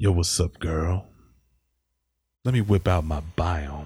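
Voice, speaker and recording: In a very clean recording with a silent background, a man uses a put-on character voice at a very deep, low pitch and a fairly slow pace. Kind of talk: exaggerated street slang. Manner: mocking, joking imitation.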